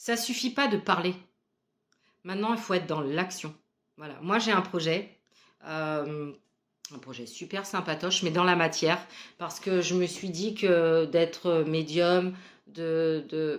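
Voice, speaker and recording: A woman with a fairly low voice speaks at a very slow pace, with long, frequent pauses. The recording is very clean, the background silent. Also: ordinary pitch variation. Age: 40s. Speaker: spiritual medium. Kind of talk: casual vlog monologue.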